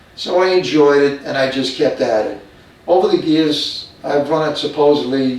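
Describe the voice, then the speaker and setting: An American accent at a moderate pace with ordinary pitch variation, amid noticeable background noise and audible room echo. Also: man. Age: 80s+. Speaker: retired police officer and marathon runner. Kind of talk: documentary interview. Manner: hesitant, with frequent fillers.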